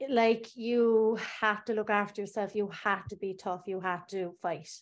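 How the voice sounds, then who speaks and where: A woman speaks with a Cork accent at a fairly slow pace. Her intonation is fairly even, and the background is quiet. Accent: Cork Irish. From Ireland, Bandon, County Cork. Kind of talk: personal testimony.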